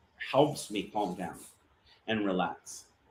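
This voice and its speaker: An American accent marks this man's medium-pitched voice. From eastern North Carolina, Jacksonville. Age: 30s. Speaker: cigar brand owner. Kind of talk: casual interview. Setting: live stream.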